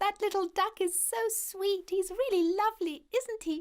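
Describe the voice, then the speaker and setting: A woman does a put-on character voice that is squeaky and extremely high in pitch. She keeps a moderate pace, fairly even intonation and very even loudness. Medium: cartoon. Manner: gentle.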